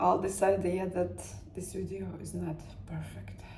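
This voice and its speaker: In a Latvian accent, the speaker goes at a very slow pace, with audible room echo in the recording. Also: woman. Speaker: self-help vlogger. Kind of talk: personal motivational talk. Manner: halting, searching for words.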